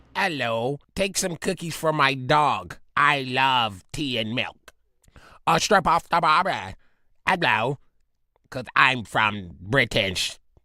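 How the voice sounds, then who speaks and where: Using a put-on character voice, a man sounds raspy at a medium pitch and a fairly slow pace, captured on a very clean recording with a silent background. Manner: comedic, joking.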